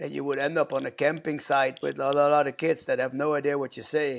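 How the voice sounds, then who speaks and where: A man with a Dutch accent at a fairly high pitch, very fast, with monotone, flat intonation, over a quiet background. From Netherlands, near Rotterdam. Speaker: punk band vocalist and record label owner. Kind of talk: podcast interview.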